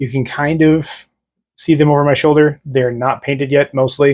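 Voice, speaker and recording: With an American accent, a man talks at a fairly high pitch and a fairly quick pace. He has an ordinary speaking voice, and the background is quiet. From United States. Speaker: wargaming YouTuber. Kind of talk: casual explainer to camera. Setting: home room with models on shelf, on camera.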